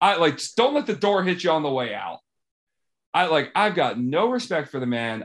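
An animated man speaks at a moderate pace with an American accent. His pitch swings very widely. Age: 20s. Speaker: podcast host. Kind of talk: casual chat.

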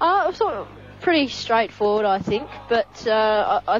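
A woman with an Australian accent at a fairly quick pace, with noticeable background noise. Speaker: co-commentator. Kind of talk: casual match analysis.

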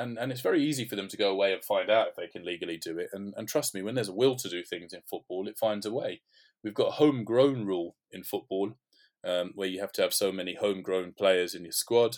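Speaking at a very fast pace with a London accent, the voice shows ordinary pitch variation on a very clean recording with a silent background. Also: man, fairly low pitch for a man. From North London. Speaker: sports media consultant. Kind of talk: podcast interview.

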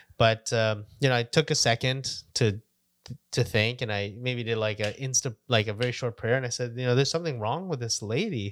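Fairly quick and at medium pitch, a man speaks in an unremarkable speaking voice with ordinary pitch variation. The recording is very clean with a silent background, dry and close with no echo. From Canada, Vancouver area. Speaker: podcast co-host. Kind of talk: casual chat.

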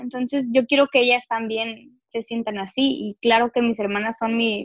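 Fairly slow, fairly high-pitched speech from a woman, an ordinary speaking voice with fairly even intonation and a dry, close sound with no echo. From Mexicali, northwestern Mexico. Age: 20s. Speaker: writer and motivational speaker. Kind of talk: casual interview chat. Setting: at home in her bedroom.

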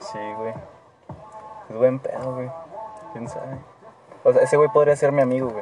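Over background music, a man at a medium pitch talks at a moderate pace with ordinary pitch variation and long, frequent pauses. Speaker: podcast host. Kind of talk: casual chat.

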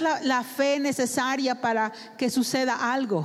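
A woman keeps to a fairly slow pace as noticeable background noise runs behind her. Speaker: interpreter for a visiting preacher. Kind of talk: sermon interpretation.

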